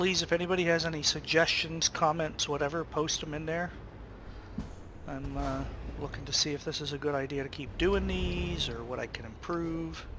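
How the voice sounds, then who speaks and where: Noticeable background noise under a man's moderate-paced speech. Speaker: video game streamer. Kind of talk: casual live-stream commentary. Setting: live stream with chat.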